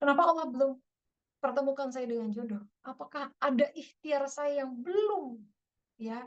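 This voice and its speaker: Speaking at a moderate pace in a West Javanese accent, a woman uses a high pitch with ordinary pitch variation. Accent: Sundanese. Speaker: Islamic preacher. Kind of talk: religious study talk. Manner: casual, conversational.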